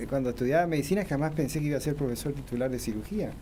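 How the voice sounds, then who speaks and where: Amid audible room echo, a man speaks with lively intonation at a medium pitch. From Argentina, Corrientes. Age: 60s. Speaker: oncological surgeon and professor. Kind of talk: radio interview.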